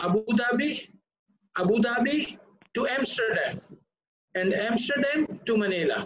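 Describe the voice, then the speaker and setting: A man with an extremely high pitch and ordinary pitch variation, at a fairly slow pace, with audible room echo and a quiet background. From Pakistan. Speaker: ship recycling executive; panelist. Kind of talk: panel discussion. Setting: video call. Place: office. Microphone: webcam.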